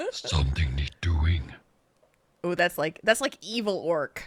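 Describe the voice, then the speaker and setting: At a fairly slow pace, a put-on character voice carries the lines. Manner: menacing.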